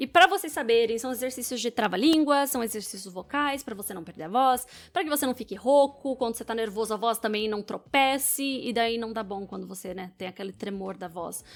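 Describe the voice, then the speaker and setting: A woman talks at a fairly quick pace with hardly any pauses, her fairly high voice carrying lively intonation and an energetic tone. Her loudness swings widely from moment to moment. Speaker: public speaking coach. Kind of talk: video commentary. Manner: fast.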